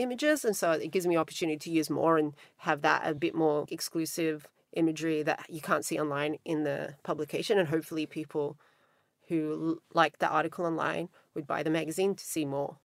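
Very fast speech from a woman with an Australian accent, very deep and low in pitch, with fairly even intonation, in a very clean recording with a silent background. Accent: Australian twang. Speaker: magazine founder. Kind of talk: interview.

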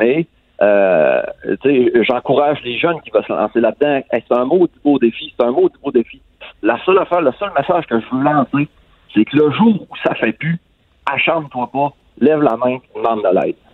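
With lively intonation and long, frequent pauses, a man speaks at a moderate pace in a fairly high voice. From Quebec, Lac-Saint-Jean. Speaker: former dairy farmer. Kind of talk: interview. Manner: halting.

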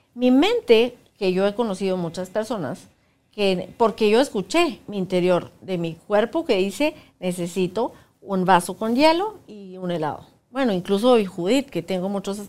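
An unremarkable speaking voice from a woman, medium in pitch, moderate in pace, with lively intonation. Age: 50s. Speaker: workshop facilitator. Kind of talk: casual chat. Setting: studio.

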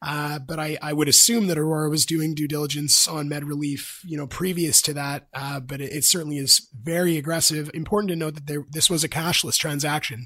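A man with a fairly high pitch talks in a plain, everyday voice at a fairly quick pace. His intonation is fairly even, with hardly any pauses. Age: 30s. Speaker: cannabis company founder. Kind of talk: business interview.

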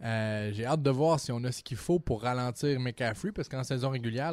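This man's medium-pitched voice moves at a moderate speed, its pitch varying in an ordinary way. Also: very clean recording, silent background. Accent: Quebec. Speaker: sports podcast co-host. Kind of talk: casual chat.

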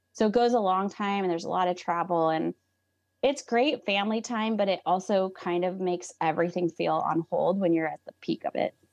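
An unremarkable speaking voice from a woman, medium in pitch with ordinary pitch variation and a fairly quick pace, dry and close with no echo over a quiet background. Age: 40s. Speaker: nutritionist and aerial dance company co-founder. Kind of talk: casual interview chat.

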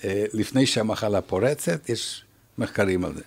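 Fairly slow, fairly low speech from a man, with ordinary pitch variation. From Canada. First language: English (speaking Hebrew). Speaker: retired professor and researcher. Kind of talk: interview.

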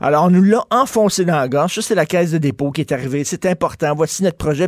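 This man talks with a Quebec accent at a fairly high pitch with ordinary pitch variation. The recording is very clean, with a silent background and a dry, close sound free of echo. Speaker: radio talk show host. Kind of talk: talk radio commentary and interviews. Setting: radio studio.

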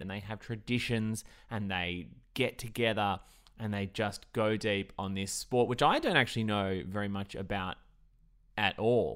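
On a very clean recording with a silent background, a man with an Australian accent speaks fairly slowly at a fairly low pitch with fairly even intonation. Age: 30s. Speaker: podcast host. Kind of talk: scripted narration.

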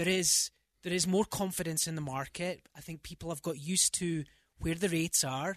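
The man has a high pitch and fairly even intonation. His recording is dry and close with no echo, against a quiet background. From Scotland. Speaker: real estate agent. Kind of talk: casual radio interview. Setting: radio studio.

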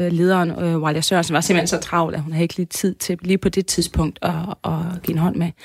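A woman talks in an ordinary speaking voice with ordinary pitch variation. The sound is dry and close, with no echo. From Denmark, Aarhus area (Tilst). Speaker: journalist and demonstration organiser. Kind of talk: radio interview.

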